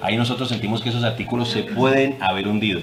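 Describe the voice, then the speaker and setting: A man's voice sits at a medium pitch, with audible room echo and noticeable background noise around it. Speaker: politician. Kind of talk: press conference.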